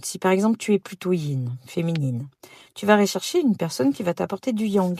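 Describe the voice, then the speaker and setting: The voice is somewhat breathy with lively intonation, recorded dry and close with no echo on a very clean recording with a silent background. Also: woman. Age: 60s. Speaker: podcast host, personal development coach. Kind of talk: podcast monologue. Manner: hesitant, many fillers.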